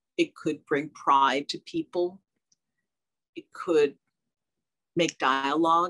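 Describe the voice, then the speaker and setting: A woman with an American accent talks very slowly with long, frequent pauses and big swings in loudness over a quiet background. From New Jersey. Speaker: fashion designer and artist; guest. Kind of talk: interview. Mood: warm, reflective. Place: home room. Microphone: video call.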